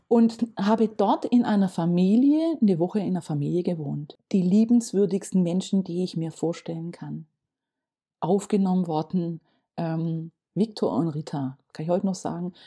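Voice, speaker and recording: Against a quiet background, a woman speaks at a medium pitch and a moderate pace, somewhat breathy with a dark, mellow tone and ordinary pitch variation. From Germany, Stuttgart area (Swabia). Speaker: municipal economic development officer. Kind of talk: casual interview. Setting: studio, at a table.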